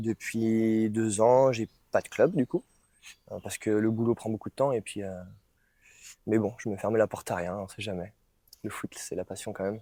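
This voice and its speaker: Dark, mellow male voice with fairly even intonation, big swings in loudness, and long, frequent pauses, recorded dry and close with no echo. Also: medium pitch for a man, moderate pace, very clean recording, silent background. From France, Brittany (Lorient). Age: 20s. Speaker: mobility and rehabilitation coach. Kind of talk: casual round-table discussion. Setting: studio. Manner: hesitant, many fillers.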